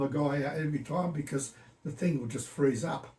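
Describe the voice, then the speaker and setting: Fairly high-pitched and fairly even in intonation, a man talks over noticeable background noise. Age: 80s+. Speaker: retired computer engineer. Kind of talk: casual chat. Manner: halting.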